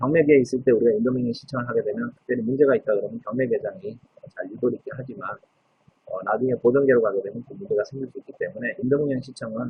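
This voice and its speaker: A man is speaking. He talks at a very fast pace. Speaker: legal scrivener. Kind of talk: lecture. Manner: frequent filler 'uh' hesitations.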